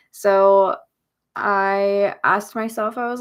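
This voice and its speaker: A soft-spoken woman talks at a medium pitch with an American accent. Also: very clean recording, silent background. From US South (Arkansas and Tennessee). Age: 20s. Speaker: YouTuber. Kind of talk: casual livestream chat. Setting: home office.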